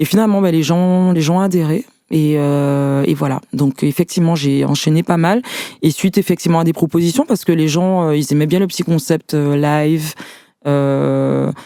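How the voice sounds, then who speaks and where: This woman's voice is very deep and low, moving at a moderate pace with fairly even intonation. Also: very clean recording, silent background. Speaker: singer and executive assistant. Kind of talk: casual interview. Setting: studio. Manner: hesitant, many fillers.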